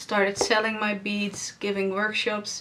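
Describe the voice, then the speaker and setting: A woman with a Dutch accent speaks at a medium pitch and fairly slow pace. Noticeable background noise is present. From Netherlands. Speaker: podcast host, knitter and yarn dyer. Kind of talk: casual video podcast monologue. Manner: halting, with pauses and umming.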